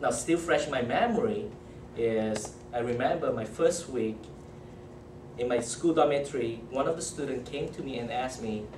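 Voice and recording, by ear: A moderate pace in a Malaysian accent, with ordinary pitch variation and audible room echo. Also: man, medium pitch for a man.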